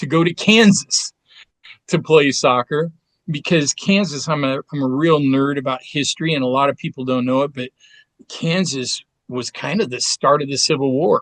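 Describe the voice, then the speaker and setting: With an American accent and a normal speaking voice, a man talks at a moderate pace and fairly high pitch with ordinary pitch variation, in a dry, close sound with no echo. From US Pacific Northwest, Portland, Oregon. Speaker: therapist and endurance athlete. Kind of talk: casual interview chat.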